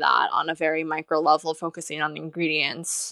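With a Californian accent, a woman speaks at a fairly low pitch and moderate pace. The recording is very clean and dry, close with no echo and a silent background. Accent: Californian American English. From US West Coast, Los Angeles. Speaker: journalist and cookbook author. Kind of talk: interview.

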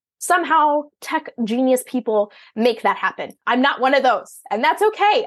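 Pitched high, a woman speaks with a strong Minnesotan accent. Her pace is moderate and her pitch swings very widely. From Minnesota, US Midwest. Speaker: virtual business owner serving entrepreneurs. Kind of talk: casual interview conversation.

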